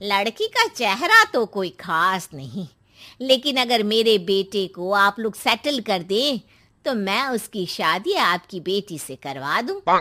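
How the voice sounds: A woman performs a cartoonish character voice at a slow pace, with few pauses. Her tone is bright and sharp, her pitch medium, and it swings widely.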